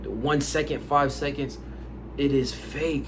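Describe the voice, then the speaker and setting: Amid noticeable background noise and audible room echo, a man with an American accent talks at a fairly slow pace. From United States, Haitian family. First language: Haitian Creole. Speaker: language learning YouTuber. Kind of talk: casual vlog talk. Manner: casual, with many fillers and repetitions.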